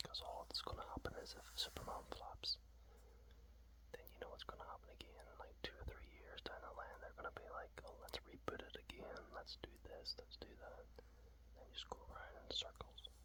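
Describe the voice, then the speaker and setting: A relaxed tone and moderate pace come through over noticeable background noise. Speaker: ASMR content creator. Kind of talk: ASMR whispered talk to camera about a comic. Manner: whispered, relaxed.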